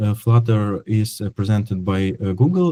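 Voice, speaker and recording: Somewhat breathy, a man speaks in a dark, mellow tone with ordinary pitch variation and a dry, close sound with no echo. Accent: non-native. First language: not English. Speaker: software developer. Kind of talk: technical presentation. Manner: halting, many fillers.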